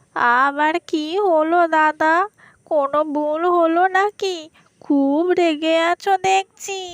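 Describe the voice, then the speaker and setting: An extremely high-pitched cartoonish character voice. It moves at a very slow pace. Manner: fearful, wheedling.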